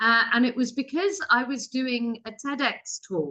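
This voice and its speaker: A woman in a British accent with a fairly high pitch and a bright, sharp tone, at a fairly slow pace. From England. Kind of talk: webinar presentation.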